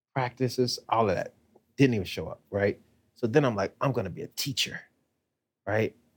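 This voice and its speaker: At a moderate pace, a man speaks somewhat breathily at a medium pitch with ordinary pitch variation. He takes long, frequent pauses, and the sound is dry and close with no echo. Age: 40s. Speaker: podcast co-host, former teacher. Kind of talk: casual chat.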